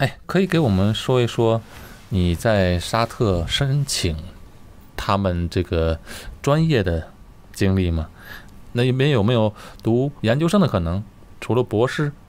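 Pausing long and often, a man at a medium pitch keeps his loudness very even while his pitch swings very widely. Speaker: video host. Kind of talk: casual interview chat. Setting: remote recording over the internet.

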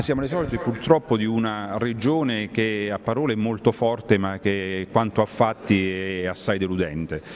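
Man with a fairly low pitch at a moderate pace, ordinary pitch variation and light background noise. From Abruzzo, Italy. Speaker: mayor. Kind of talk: news interview. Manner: indignant. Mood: critical, disappointed. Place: hall. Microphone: handheld.

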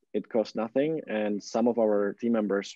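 Against a quiet background with a dry sound and no echo, a man with an unremarkable speaking voice speaks at a moderate pace and a fairly low pitch. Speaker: nonprofit fundraising platform executive. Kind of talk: interview. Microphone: video call.

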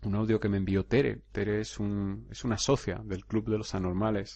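A man at a moderate pace with a fairly low pitch. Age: 30s. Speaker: hypnotherapist podcaster. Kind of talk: solo podcast monologue. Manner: hesitant, repeats words.

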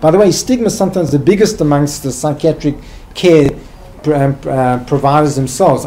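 Over light background noise, a man speaks with a South African accent. His pitch is fairly high, with ordinary variation. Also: moderate pace. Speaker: psychiatrist and hospital director; guest lecturer. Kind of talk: lecture. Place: hall.

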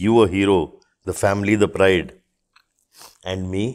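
Fairly slow and fairly low-pitched, a man speaks. The background is quiet. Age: 50s. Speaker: author of a military biography; podcast guest. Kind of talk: podcast interview. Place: studio. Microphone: lapel.

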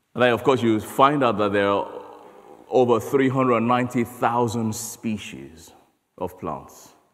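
Moderate pace from a man speaking. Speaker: conference speaker. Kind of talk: sermon. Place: church.

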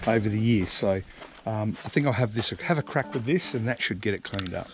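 A man's dry voice with no echo, against noticeable background noise. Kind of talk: casual vlog tutorial. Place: street. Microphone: phone near.

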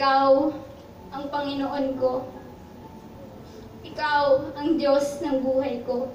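A woman speaks very slowly in a high pitch with monotone, flat intonation and long, frequent pauses. Light background noise and audible room echo are present. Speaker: spoken word poet. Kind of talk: spoken word poetry performance. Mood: emotional, devotional. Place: shop. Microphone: camera far.

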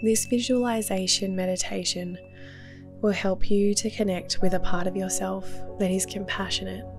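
With an Australian accent, a woman speaks in a calm tone at a moderate pace. Music plays in the background. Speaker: therapist, meditation guide. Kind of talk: guided meditation. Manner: calm, soft-spoken.

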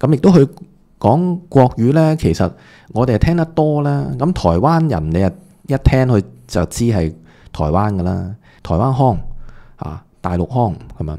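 Over a quiet background, a man with a dark, mellow tone speaks at a fairly slow pace, his pitch swinging very widely. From Hong Kong. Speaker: entertainment gossip commentator; online commentator. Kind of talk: video commentary monologue; commentary. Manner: casual with many filler words. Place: home room. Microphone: studio mic.

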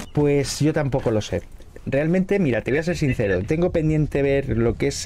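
At a moderate pace, a man speaks with lively intonation over light background noise. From Spain. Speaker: gaming streamer. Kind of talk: casual gameplay chat. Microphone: studio mic.

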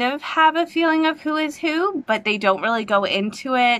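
A woman talks with lively intonation and a bright, sharp tone. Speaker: booktuber reviewer. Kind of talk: trailer reaction vlog. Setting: home recording on phone. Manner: animated. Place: home room. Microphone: webcam.

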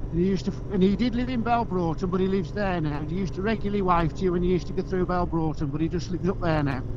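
Talking very fast with hardly any pauses, a man uses a high pitch and ordinary pitch variation. The sound is dry without echo, but background noise is noticeable. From English Midlands. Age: 50s. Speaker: motorcyclist; motorcycle rider vlogger. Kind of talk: casual chat. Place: motorbike. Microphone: helmet.

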